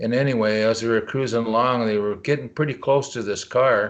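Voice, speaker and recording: An unremarkable speaking voice from a man with an American accent, medium pitch, ordinary pitch variation and a moderate pace, over a quiet background. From Leech Lake Indian Reservation, Northern Minnesota. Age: 60s. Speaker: cryptozoologist. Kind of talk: interview answer.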